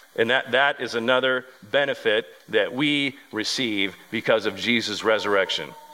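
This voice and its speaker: Amid noticeable background noise, a man talks at a moderate pace and medium pitch with fairly even intonation. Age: 40s. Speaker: pastor. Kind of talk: sermon. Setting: church.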